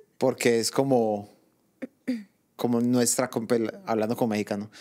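A man talks at a fairly slow pace in a medium pitch. His tone is dark and mellow against a quiet background. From Colombia. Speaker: podcast co-host, migrant; podcast co-host. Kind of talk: casual chat. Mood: relaxed, joking. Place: home room. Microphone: handheld.

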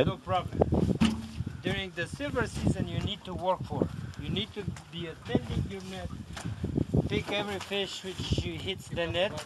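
A man talks at a moderate pace with long, frequent pauses. Loud background noise fills the recording. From Romania. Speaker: commercial salmon fisherman. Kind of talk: interview answer. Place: boat. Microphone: camera far.

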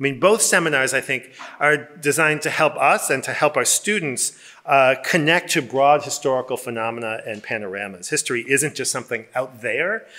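Against a quiet background, a man with a bright, sharp tone talks at a fairly quick pace. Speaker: presenter. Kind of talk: presentation describing a seminar. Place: hall. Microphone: podium.

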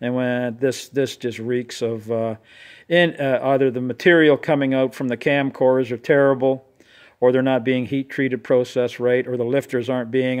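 Over a quiet background, a man talks at a moderate pace in a monotone, flat intonation. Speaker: engine builder. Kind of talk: casual talk to camera. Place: garden. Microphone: phone near.

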